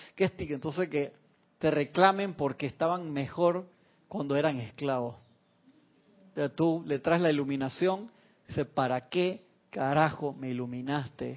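With an animated tone, a man with a fairly high voice talks using ordinary pitch variation and long, frequent pauses. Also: fairly slow pace. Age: 40s. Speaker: spiritual teacher. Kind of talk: spiritual class. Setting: online radio and TV broadcast.

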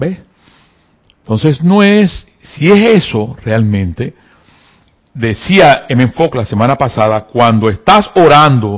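Pitch swings very widely as the words come at a fairly slow pace. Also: man. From provinces of his country, hours from the capital. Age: 50s. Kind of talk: spiritual teaching talk. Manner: repetitive, emphatic.

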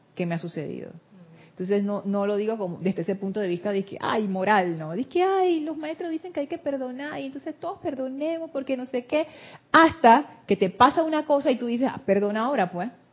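The pace here is fairly quick. Pitch swings very widely throughout. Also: woman, high pitch for a woman. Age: 60s. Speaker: spiritual teacher. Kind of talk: group class discussion.

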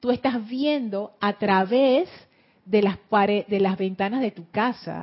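With a Panama City accent, a woman speaks at a very slow pace. Her medium pitch shows ordinary variation. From Panama City, Panama. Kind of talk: teaching talk with guided meditation.

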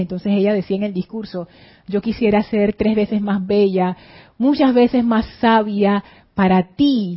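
A woman speaks with a Caribbean Spanish accent at a medium pitch. Her voice is somewhat breathy. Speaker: spiritual teacher. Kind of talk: spiritual class livestream. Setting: studio.

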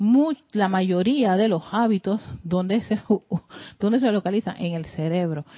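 Speaking at a moderate pace, a woman uses an animated tone, a medium pitch and ordinary pitch variation. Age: 50s. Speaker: spiritual teacher. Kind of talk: lecture.

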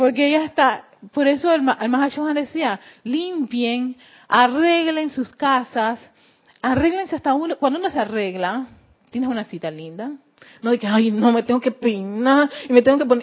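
Her voice is high, with lively intonation. The woman speaks at a moderate pace. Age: 40s. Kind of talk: spiritual lecture. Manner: halting, frequent word repetitions; laughs often.

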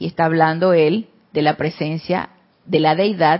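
A woman is speaking. Her pace is fairly slow. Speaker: spiritual teacher. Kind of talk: spiritual class. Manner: soft-spoken.

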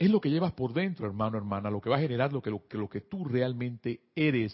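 A man talks with very wide pitch swings. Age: 50s. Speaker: spiritual teacher. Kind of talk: spiritual class. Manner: halting.

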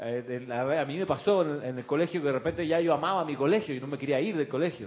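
A man uses lively intonation in a normal speaking voice. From Chile. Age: 60s. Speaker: spiritual teacher and radio host. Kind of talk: spiritual class on live radio. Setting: studio with camera, live broadcast.

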